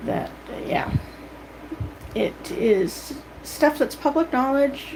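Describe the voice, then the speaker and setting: A woman with a Canadian accent speaks very slowly, her high-pitched voice carrying lively intonation. Noticeable background noise is present. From Canada. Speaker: vlogger. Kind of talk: casual monologue.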